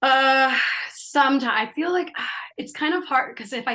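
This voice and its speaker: A bright, sharp tone over a quiet background. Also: woman. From Canada. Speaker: actress. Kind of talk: casual interview chat.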